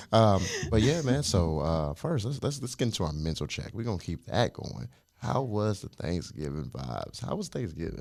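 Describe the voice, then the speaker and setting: This man's voice sits fairly low. Its pitch swings very widely. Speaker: podcast host. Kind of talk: casual chat. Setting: studio. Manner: fast; animated.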